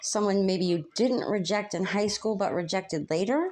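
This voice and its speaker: The speaker keeps a moderate pace with ordinary pitch variation against a quiet background. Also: woman. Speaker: tarot reader. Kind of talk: casual psychic reading. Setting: at home doing chores. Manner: halting, filler-heavy.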